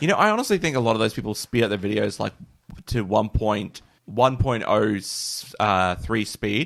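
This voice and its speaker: At a moderate pace, the speech comes in an Australian accent. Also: man, fairly low pitch for a man, ordinary pitch variation. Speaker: podcast co-host. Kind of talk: casual chat.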